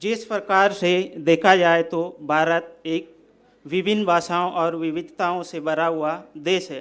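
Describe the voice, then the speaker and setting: A high-pitched man with a Central Indian accent speaks with fairly even intonation. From Bastar, Chhattisgarh. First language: Gondi (speaking Hindi). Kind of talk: speech.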